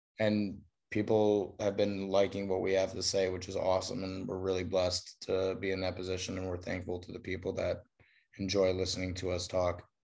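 A man with an American accent talks at a fairly quick pace in a very deep, low pitch, his intonation monotone and flat, on a very clean recording with a silent background. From Chicago. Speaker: recording studio owner. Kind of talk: casual interview.

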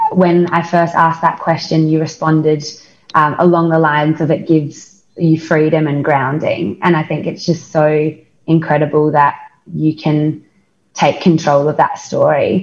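A woman's fairly low-pitched, somewhat breathy voice with an Australian accent, at a fairly slow pace. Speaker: podcast co-host, company co-founder. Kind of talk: casual interview. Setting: video call. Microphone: call audio may cut in and out.

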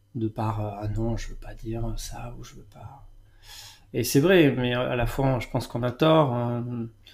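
In a very clean recording with a silent background, a man talks fairly slowly at medium pitch, somewhat breathy, with ordinary pitch variation. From France, Bordeaux region. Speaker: gardener. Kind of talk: interview. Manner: halting.

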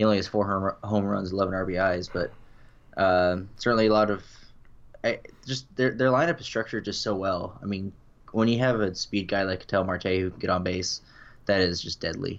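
A man's plain, everyday voice, fairly low in pitch with ordinary variation, at a fairly quick pace. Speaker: co-host. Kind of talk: casual chat.

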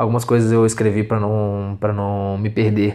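This man talks at a moderate pace. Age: 20s. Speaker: podcaster, law student. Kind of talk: solo monologue podcast. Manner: halting.

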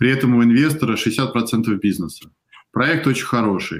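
Here a man talks in an unremarkable speaking voice at medium pitch. His pitch varies in an ordinary way, and his pace is moderate. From Russia. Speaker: venture investor. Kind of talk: interview on a live stream.

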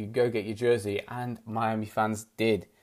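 The speaker is a man with a British accent. His pitch sits at a medium level. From UK. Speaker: sports podcaster. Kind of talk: solo podcast monologue. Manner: casual, chatty, hesitant with fillers.

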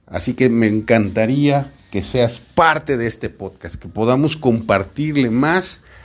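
The speaker is a man with a medium-pitched voice. His tone is warm. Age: 40s. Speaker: sales podcast host and sales coach. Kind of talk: solo podcast monologue. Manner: casual, warm with filler words.

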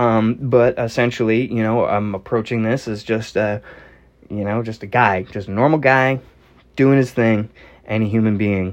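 A man with an American accent speaks at a moderate pace, his medium-pitched voice carrying fairly even intonation. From Northeastern United States. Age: 40s. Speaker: podcast host. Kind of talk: solo podcast monologue. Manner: casual, frequent filler words.

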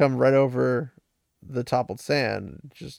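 With a quiet background, the text is read aloud in a natural voice.

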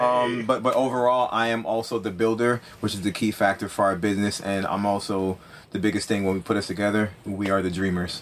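A man with an unremarkable speaking voice talks at a fairly quick pace, fairly low in pitch and fairly even in intonation. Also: hardly any pauses. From Jamaica, moved to US at six. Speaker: hotel owner and builder, war veteran. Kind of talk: casual interview. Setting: treehouse outdoors, chilly.

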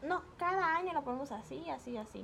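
The speech moves at a fairly quick pace with lively intonation. Noticeable background noise sits behind it. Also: woman. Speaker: podcast guest. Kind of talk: casual chat.

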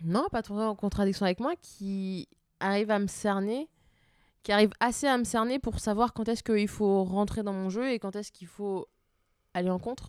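In a very clean recording with a silent background and a dry, close sound with no echo, a woman with an unremarkable speaking voice talks at a moderate pace and medium pitch with ordinary pitch variation. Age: 20s. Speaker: Instagram account author and podcast co-host. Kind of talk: casual chat. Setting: at home at night, Eiffel Tower view.

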